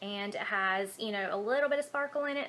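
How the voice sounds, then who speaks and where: With a Southern US accent, a woman talks at a fairly quick pace in a fairly high voice with ordinary pitch variation. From Alabama, USA. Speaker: beauty vlogger. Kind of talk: casual talk to camera. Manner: casual, hesitant with fillers.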